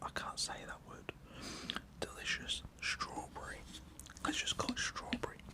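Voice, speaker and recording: A man whispers at a moderate pace. Noticeable background noise runs underneath. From United Kingdom. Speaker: ASMR creator. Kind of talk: ASMR casual talk to camera. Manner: whispered.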